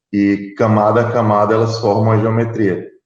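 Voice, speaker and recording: Speaking fairly slowly with a southern Brazilian accent, a man is heard with audible echo in the room. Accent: gaúcho. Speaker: additive manufacturing specialist. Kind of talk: panel discussion.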